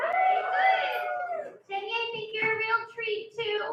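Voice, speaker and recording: A woman speaks in a nervous tone. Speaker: stand-up comedian. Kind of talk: stand-up. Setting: stage with audience. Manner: sounds a little nervous. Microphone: echo in room.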